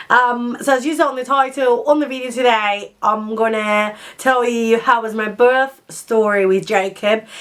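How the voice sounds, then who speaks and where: Speaking very slowly with a Spanish accent, a woman uses a fairly high pitch. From Spain. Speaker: vlogger. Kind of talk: casual chat. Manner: halting.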